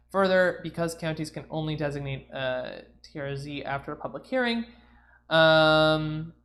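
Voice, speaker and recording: A woman with an American accent, very deep and low-pitched, at a moderate pace with ordinary pitch variation against a quiet background. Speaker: congressional candidate streamer. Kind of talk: livestream commentary reading ballot texts. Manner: loud; halting, many fillers.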